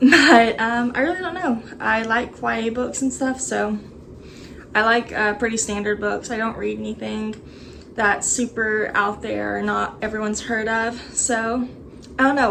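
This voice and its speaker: A woman's fairly high-pitched voice in a Texas accent. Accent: Texas accent, noticeable. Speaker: booktuber. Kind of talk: casual vlog chat. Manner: hesitant, many fillers.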